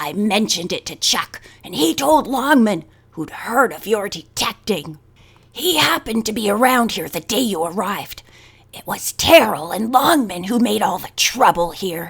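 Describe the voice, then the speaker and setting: A put-on character voice, hoarse and croaky, swings widely in pitch and shifts a lot in loudness. The pace stays moderate. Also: woman, medium pitch for a woman. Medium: read story. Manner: fierce, sharp-tongued.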